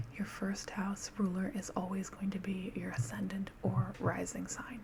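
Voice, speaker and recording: The speech is soft-spoken and fairly slow. Noticeable background noise can be heard. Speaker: astrology explainer. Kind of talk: ASMR tutorial.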